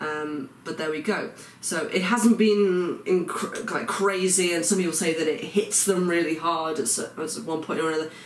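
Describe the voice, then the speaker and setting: A man with an English accent speaks at a moderate pace in a high pitch, with ordinary pitch variation and hardly any pauses, over noticeable background noise and audible room echo. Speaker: vlogger. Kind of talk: video diary. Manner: hesitant, many fillers.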